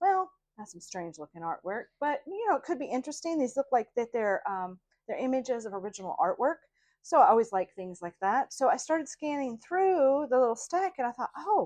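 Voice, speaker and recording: Speaking in an American accent, a woman with a high voice makes very wide pitch swings and big swings in loudness, in a dry, close sound with no echo over a quiet background. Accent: Idaho accent affected by South Louisiana. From Idaho. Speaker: craft vlogger. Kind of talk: casual show-and-tell vlog. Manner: hesitant, many fillers.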